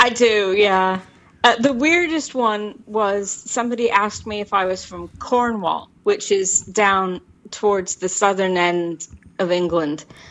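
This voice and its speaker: A woman has an ordinary speaking voice with an American accent. She talks at a fairly slow pace with a medium pitch and ordinary pitch variation. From Tacoma, Washington State, US. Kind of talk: casual chat.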